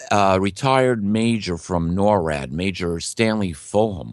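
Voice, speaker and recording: A man talks with ordinary pitch variation, captured in a very clean recording with a silent background. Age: 60s. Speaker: guest on conspiracy podcast, bible prophecy researcher. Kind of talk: interview. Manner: halting.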